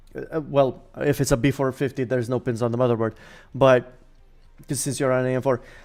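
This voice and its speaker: Over music in the background, a man talks at a fairly quick pace with monotone, flat intonation. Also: medium pitch for a man. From Romania. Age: 20s. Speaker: PC gaming streamer. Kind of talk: live stream Q&A with chat. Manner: casual, halting with fillers.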